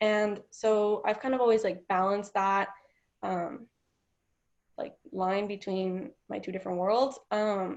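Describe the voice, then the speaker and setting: In an American accent, a woman with a medium pitch and an ordinary speaking voice speaks at a fairly slow pace. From Washington State, US (Mexican family). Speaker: college student. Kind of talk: interview. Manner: filler-heavy ('um', 'like').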